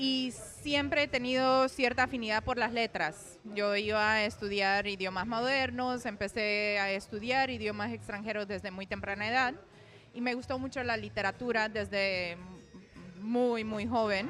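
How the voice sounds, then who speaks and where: With a Romanian accent, a woman speaks at a fairly slow pace. Her voice sits at a fairly high pitch and has a bright, sharp tone. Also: ordinary pitch variation. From Romania, then Venezuela from age 14. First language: Romanian (speaking Spanish). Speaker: poet. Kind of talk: interview.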